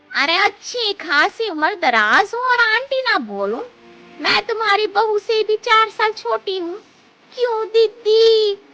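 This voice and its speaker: A woman uses a cartoonish character voice, her pitch extremely high, and she talks at a fairly slow pace. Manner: chatty, cheeky.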